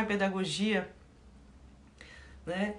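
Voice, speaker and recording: The woman's medium-pitched voice carries audible echo from the room. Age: 60s. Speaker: Zen Buddhist nun and teacher. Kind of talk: dharma talk, livestream. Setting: online livestream.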